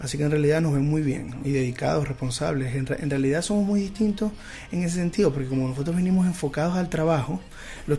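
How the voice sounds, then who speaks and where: With an unremarkable speaking voice, a man talks at a fairly quick pace with fairly high pitch and ordinary pitch variation. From Venezuela, Zulia state. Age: 20s. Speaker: lawyer and immigrant. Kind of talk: radio interview.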